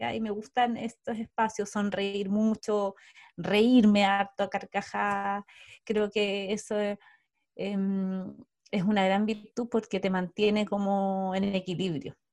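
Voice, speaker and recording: A woman speaks at a very slow pace in monotone, flat intonation, with long, frequent pauses. The recording is very clean, with a silent background. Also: medium pitch for a woman. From southern Chile, Osorno. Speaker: coach and co-founder of a coaching company. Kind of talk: casual interview chat.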